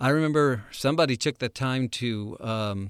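A man speaks with an American accent in an ordinary speaking voice, medium in pitch with ordinary pitch variation. The sound is dry and close, with no echo. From United States. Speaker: missions podcast host, former missionary. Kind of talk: casual chat.

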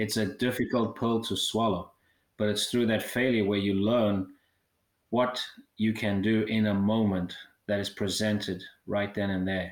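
A man with a fairly low pitch speaks fairly slowly in a flat monotone, leaving long, frequent pauses, on a very clean recording with a silent background. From South Africa. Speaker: mental skills coach for a baseball team. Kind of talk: podcast interview.

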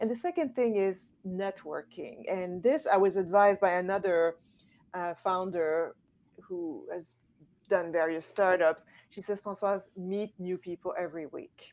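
A plain, everyday voice from a woman at medium pitch, fairly slow, with ordinary pitch variation and big swings in loudness, on a very clean recording with a silent background. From Quebec City, Canada. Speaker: feminist advocate and founder. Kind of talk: interview.

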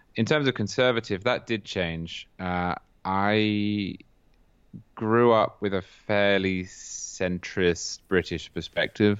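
Speaking at a very slow pace in a southern English accent, the voice keeps a fairly even intonation. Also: man. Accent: English (southern England). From England, Cambridge. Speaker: political writer. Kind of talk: interview.

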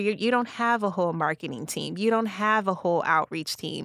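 In an American accent, a woman uses an ordinary speaking voice at a medium pitch with ordinary pitch variation, recorded very cleanly over a silent background with a dry, close sound and no echo. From Illinois, Kankakee. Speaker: county communications director, former TV reporter. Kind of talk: casual interview chat.

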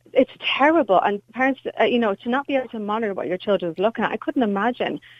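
Speaking in an Irish accent, a woman with a fairly high pitch moves at a fairly quick pace through very wide pitch swings. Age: 30s. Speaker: caller, mother of three. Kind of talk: phone-in radio call.

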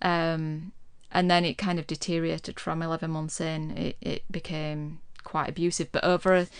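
Here a woman speaks with a West Yorkshire accent. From Yorkshire, Huddersfield. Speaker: podcast guest. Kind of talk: casual chat. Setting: studio. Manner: calm.

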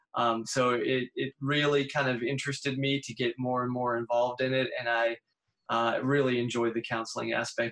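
Speaking fairly quickly with an American accent, a man keeps a medium pitch and fairly even intonation. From US Northeast. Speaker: speech-language pathology professor. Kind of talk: interview. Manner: halting.

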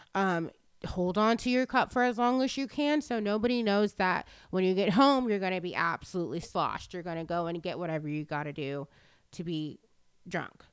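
A woman with an American accent talks at a fairly quick pace in a normal speaking voice, medium in pitch with lively intonation. The recording is very clean, with a silent background. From Texas. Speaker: person in addiction recovery sharing her story. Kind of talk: testimony.

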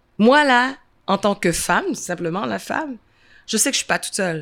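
A woman speaks in an animated tone at a fairly slow pace, her pitch swinging very widely. The recording is very clean, with a silent background. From Montreal, Saint-Michel (Quebec), Haitian heritage. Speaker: event founder and former comedian. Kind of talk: interview conversation. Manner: animated, laughing.

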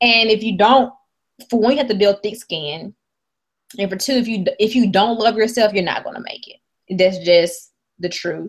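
The speaker talks at a moderate pace in a Mississippi accent, with ordinary pitch variation. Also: woman, fairly high pitch for a woman. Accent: Southern US (Mississippi). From US South, rural Mississippi. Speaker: app company founder. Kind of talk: interview. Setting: video call.

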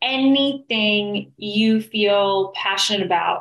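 A woman's fairly high-pitched, an ordinary speaking voice, with an American accent and ordinary pitch variation. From New York City. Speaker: business coach. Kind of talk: interview.

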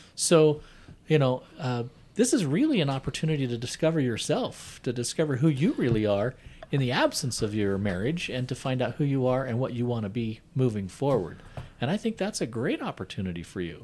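With an ordinary speaking voice, a man talks at a medium pitch and a fairly quick pace, using lively intonation. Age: 50s. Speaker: podcast host, recovering addict. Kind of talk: casual chat.

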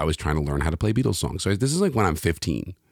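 With a New York accent, a man speaks in a very deep, low voice, and the sound is dry and close with no echo. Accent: New York American. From New York City. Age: 40s. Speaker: singer-songwriter and pianist. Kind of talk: casual interview chat. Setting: video call.

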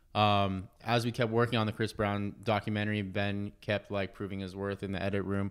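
A man with an American accent speaks at a very fast pace in a fairly low pitch. His intonation is monotone and flat, in a very clean recording with a silent background. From Los Angeles. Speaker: film director and editor. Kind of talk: casual chat. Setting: office.

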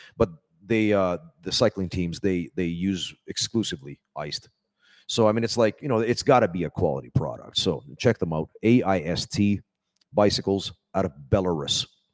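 With an unremarkable speaking voice, a man talks at a moderate pace and fairly low pitch, ordinary pitch variation, in a dry, close sound with no echo. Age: 40s. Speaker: pro wrestler and trainer. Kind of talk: casual chat. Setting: wrestling training hall.

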